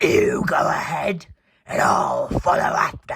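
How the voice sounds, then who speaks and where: Someone growls through a put-on character voice at a fairly slow pace. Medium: read story.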